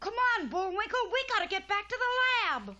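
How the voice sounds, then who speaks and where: A cartoonish character voice at an extremely high pitch moves along at a fairly quick pace. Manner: bright, eager.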